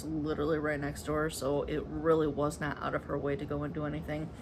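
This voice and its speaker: With an American accent, a woman rushes along at a very fast pace with hardly any pauses, amid audible room echo and noticeable background noise. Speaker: cross-stitch vlogger. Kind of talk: casual chat. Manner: casual, filler words.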